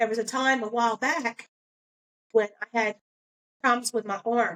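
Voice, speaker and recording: A woman at a moderate pace, with fairly even intonation and a dry, close sound free of echo. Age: 60s. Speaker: motivational vlogger. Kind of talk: motivational talk. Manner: casual, conversational.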